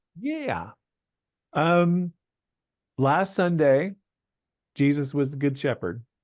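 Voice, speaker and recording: Against a quiet background, a man with an American accent speaks at a very slow pace with long, frequent pauses, in a dry, close sound with no echo. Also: fairly high pitch for a man, lively intonation. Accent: Southern accent coming out. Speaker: church musician and podcast host. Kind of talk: casual chat. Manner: relaxed, filler-heavy.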